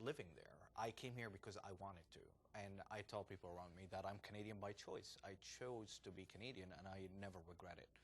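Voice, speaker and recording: A man with an Arabic accent speaks at a moderate pace. His pitch is fairly low and his intonation fairly even. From Jordan. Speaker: entrepreneur and former banker. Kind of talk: interview. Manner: hesitant, many fillers.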